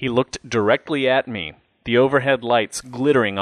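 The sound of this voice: An unforced reading voice with fairly even intonation comes over a quiet background.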